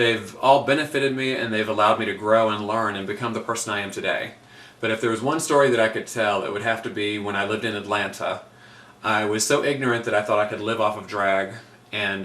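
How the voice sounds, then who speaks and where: Speaking very fast with an American accent, a man uses a medium pitch and fairly even intonation. There is noticeable background noise and audible room echo. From Virginia, US (Virginia Beach). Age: 30s. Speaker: drag queen. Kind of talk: audition video monologue.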